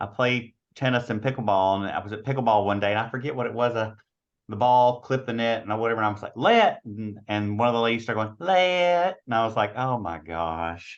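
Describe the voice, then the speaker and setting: Speaking with a strong Southern US accent, a man of medium pitch talks at a fairly quick pace with lively intonation against a quiet background. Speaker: meeting attendee. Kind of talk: casual chat. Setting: video call.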